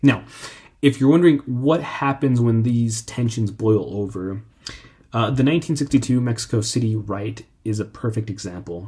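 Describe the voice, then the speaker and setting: A man's somewhat breathy voice sits at a medium pitch with a dark, mellow tone. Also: ordinary pitch variation, moderate pace. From Mexican, raised in the United States. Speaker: history channel host. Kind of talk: informal history talk. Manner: halting, many fillers.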